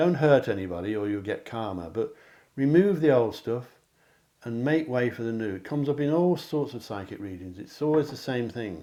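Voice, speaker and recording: Speaking fairly quickly with an English accent, a man has a dark, mellow tone on a very clean recording with a silent background. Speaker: psychic card reader. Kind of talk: tarot-style pick a card reading to camera.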